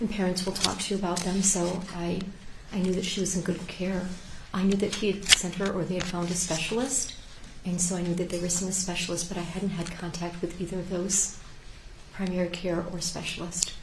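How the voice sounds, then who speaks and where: Soft-spoken and monotone, a woman at medium pitch talks at a fairly quick pace, with noticeable background noise and audible room echo. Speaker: teacher, trial witness. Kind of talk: court testimony. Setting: courtroom. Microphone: hard to hear, too quiet.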